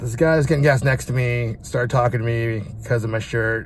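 Over light background noise, a man talks at a fairly quick pace, the sound dry with no echo. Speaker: vlogger. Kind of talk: casual vlog chat. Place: car. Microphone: phone near.

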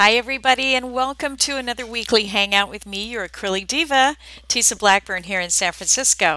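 Delivered at a moderate pace with lively intonation, the voice has a bright, sharp tone and a dry sound with no echo. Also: woman. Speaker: art teacher. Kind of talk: tutorial. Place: home room. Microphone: headset.

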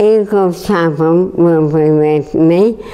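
Using an English accent, a woman with a fairly low pitch talks at a very slow pace with ordinary pitch variation. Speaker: charity fundraiser. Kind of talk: interview answer. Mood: upbeat, determined.

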